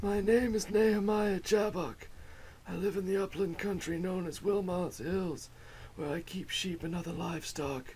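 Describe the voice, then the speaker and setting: A put-on character voice from a man, high-pitched and at a moderate pace, over clear background noise. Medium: audio drama. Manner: formal, precise, old-fashioned.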